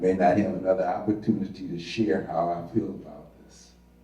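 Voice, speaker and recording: Amid noticeable background noise and audible room echo, a man speaks at a moderate pace with a very deep, low pitch. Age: 80s+. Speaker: retired school administrator. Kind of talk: panel talk.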